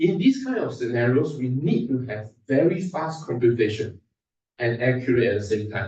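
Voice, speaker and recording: A man's dark, mellow, somewhat breathy voice sits at a medium pitch with ordinary variation. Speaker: invited speaker at research workshop. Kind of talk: technical conference talk. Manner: fast.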